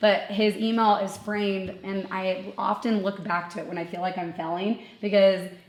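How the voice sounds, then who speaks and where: A woman at a moderate pace, her intonation fairly even, with noticeable background noise. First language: Portuguese. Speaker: marketing agency founder. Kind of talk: live podcast interview. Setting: live recording at a retreat with audience.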